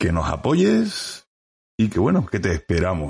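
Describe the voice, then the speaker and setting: A man with an Andalusian accent, a fairly low pitch and a somewhat breathy voice, against a quiet background. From Andalusia, Spain. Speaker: history podcast host. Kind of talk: podcast intro and appeal; casual history chat. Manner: hesitant, many fillers.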